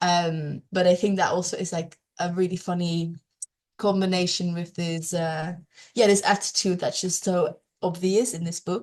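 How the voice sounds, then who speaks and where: Speech comes at a moderate speed. The tone stays flat and monotone throughout. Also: woman, fairly low pitch for a woman. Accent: Dutch. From Netherlands. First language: Dutch. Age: young. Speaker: climate and peatland advocate. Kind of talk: online presentation. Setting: online meeting.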